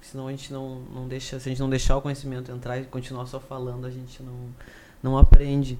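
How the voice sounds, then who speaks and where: Moving at a fairly quick pace, a man talks with a medium pitch. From interior of Rio Grande do Sul, Brazil (Carazinho). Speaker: engineering student and activist. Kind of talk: casual chat. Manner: hesitant, many fillers.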